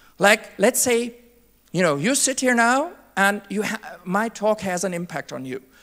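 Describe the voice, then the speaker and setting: Here a woman with a German accent talks at a moderate pace. Her pitch is medium and her intonation lively. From Germany. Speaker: conference speaker. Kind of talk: keynote talk.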